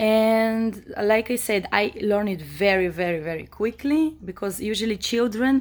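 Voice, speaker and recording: Speaking at a fairly slow pace, a woman with an Israeli accent uses a fairly high pitch with ordinary pitch variation. The recording is very clean, with a silent background. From Israel, born in Moldova. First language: Hebrew. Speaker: vlogger. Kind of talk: personal monologue. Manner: hesitant, many fillers.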